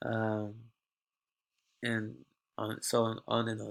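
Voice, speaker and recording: A man speaks with a non-native accent. The recording is very clean, with a silent background. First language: not English. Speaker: university student. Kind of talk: class presentation tutorial. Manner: halting.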